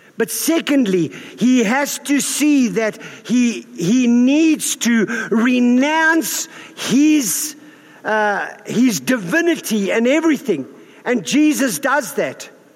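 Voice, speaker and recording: This man's voice sits extremely high in pitch, with lively intonation and very even loudness, over noticeable background noise. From South Africa. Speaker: pastor. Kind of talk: sermon. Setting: church. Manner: informal, humorous.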